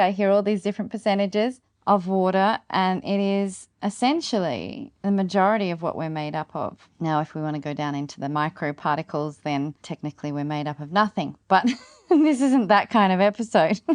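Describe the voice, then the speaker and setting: Lively intonation in an Australian accent, hardly any pauses, a dry, close sound with no echo and a quiet background. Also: woman. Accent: Australian, non-rhotic. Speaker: podcast host, gardening and regenerative living. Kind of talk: casual solo podcast talk.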